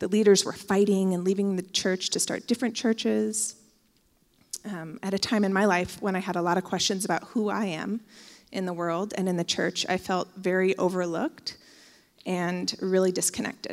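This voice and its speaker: A woman's normal speaking voice in an American accent, medium in pitch, with fairly even intonation at a moderate pace, on a very clean recording with a silent background. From Oregon, US. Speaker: church member giving testimony. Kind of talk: testimony. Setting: church.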